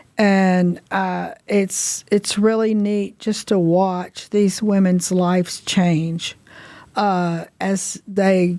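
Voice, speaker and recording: In a Southern US accent, a woman speaks with a dark, mellow tone on a very clean recording with a silent background. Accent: Southern American. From US South, north Mississippi. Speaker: recovery home director. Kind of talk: casual interview.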